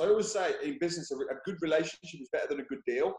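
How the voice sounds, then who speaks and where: Loud and energetic, a man with an English accent speaks in a high pitch with lively intonation. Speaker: property investor. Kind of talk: interview. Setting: video call. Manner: loud, energetic.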